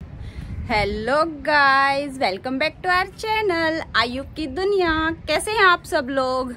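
Against light background noise, a woman speaks at a very slow pace with lively intonation. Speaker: home vlogger. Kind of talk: casual vlog chat. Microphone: phone near.

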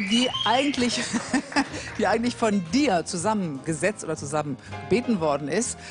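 A woman's voice swings very widely in pitch while music plays clearly in the background. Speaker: TV show host. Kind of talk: talk show host. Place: studio. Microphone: handheld.

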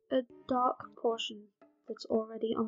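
A soft-spoken woman over faint music in the background. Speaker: digital artist. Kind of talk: art tutorial voiceover. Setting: low-quality microphone.

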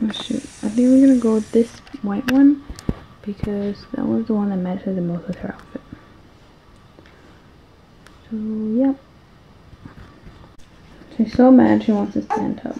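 Moderate pace with long, frequent pauses, ordinary pitch variation and light background noise. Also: woman. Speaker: mother vlogger. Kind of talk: casual vlog chat. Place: home room. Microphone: phone near.

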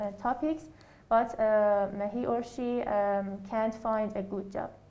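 A woman's dark, mellow voice with a non-native accent, monotone and flat, at a very slow pace. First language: not English. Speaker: IELTS candidate. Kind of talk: interview answer. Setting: speaking through a face mask. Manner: hesitant, many fillers. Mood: hesitant, many fillers. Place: office. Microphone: camera far.

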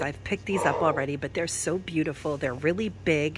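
Loud background noise surrounds a dry sound that carries no echo. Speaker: shopping vlogger. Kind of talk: casual vlog chat. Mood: enthusiastic, admiring. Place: shop. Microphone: phone near.

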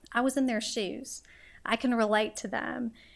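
With nothing but quiet behind her, a woman talks at a moderate speed. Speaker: nonprofit executive; guest. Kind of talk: personal testimony talk. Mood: warm, personal. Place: hall. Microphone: podium.

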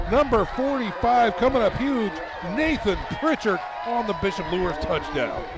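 At a fairly slow pace, a man with a high-pitched voice speaks over noticeable background noise. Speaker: sports play-by-play announcer. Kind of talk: live commentary. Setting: outdoors at a stadium. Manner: animated.

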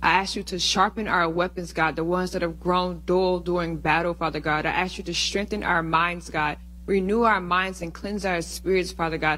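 A woman speaks in an intense, bright, sharp tone at a fairly low pitch. Her pace is moderate and her intonation monotone and flat. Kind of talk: fervent prayer of spiritual warfare; spoken prayer. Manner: earnest, intense, repeating 'Father God'. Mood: earnest, fervent. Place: church. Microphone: handheld.

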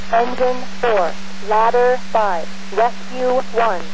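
Noticeable background noise is audible, yet the sound stays dry with no echo. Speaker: fire dispatcher. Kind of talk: radio dispatch, reading out calls and addresses.

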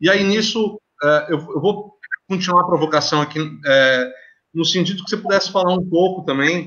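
A man talks at a high pitch with fairly even intonation. The background is quiet. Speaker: live host and moderator. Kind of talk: moderated panel discussion. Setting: video call. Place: home room. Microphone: video call.

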